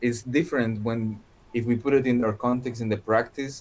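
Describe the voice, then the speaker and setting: A man with a Spanish accent at a moderate pace, his pitch medium. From Colombia. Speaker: contemporary dance artist. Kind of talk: casual chat. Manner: halting, repeats words.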